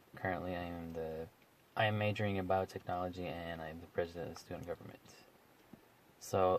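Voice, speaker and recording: A man speaks very fast and quietly in a very deep, low pitch. His intonation is monotone and flat. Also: long, frequent pauses, big swings in loudness. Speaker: college student. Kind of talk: casual chat. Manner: quiet voice.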